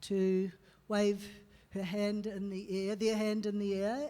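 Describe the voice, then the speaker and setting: A dark, mellow tone with a New Zealand accent. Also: woman. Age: 60s. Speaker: activist and panel chair. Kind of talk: panel discussion.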